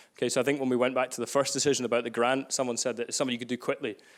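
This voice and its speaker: Talking very fast, a man with a Glaswegian accent uses a medium pitch. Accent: Glaswegian Scottish. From Scotland, Glasgow. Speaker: workshop facilitator. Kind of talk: live workshop. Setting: room with live audience. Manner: energetic.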